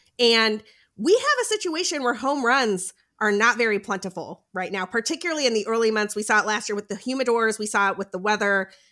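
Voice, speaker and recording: Her tone is bright and sharp, in a fairly high pitch with ordinary pitch variation. The woman talks at a fairly quick pace with an American accent. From US, spent time in Boston. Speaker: fantasy baseball analyst. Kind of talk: casual chat about fantasy baseball. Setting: remote recording, Friday night.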